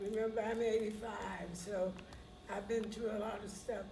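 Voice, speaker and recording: A woman's fairly high pitch is heard with audible room echo and noticeable background noise. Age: 80s+. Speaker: retired professor, audience member. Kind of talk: audience feedback.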